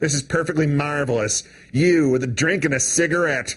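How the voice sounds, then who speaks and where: A man performs a put-on character voice at a fairly quick pace. His pitch is fairly high and his loudness very even. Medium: read story.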